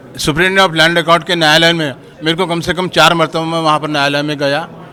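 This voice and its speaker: A man's fairly high voice comes through in monotone, flat intonation over noticeable background noise. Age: 70s. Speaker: craftsman, member of the public. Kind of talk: street interview.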